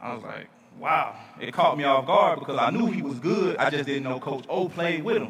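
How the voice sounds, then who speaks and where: A man with a Southern US accent speaks at a moderate pace, fairly high in pitch with lively intonation. Noticeable background noise sits behind him. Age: 30s. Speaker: speaker at charity event. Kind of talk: storytelling speech.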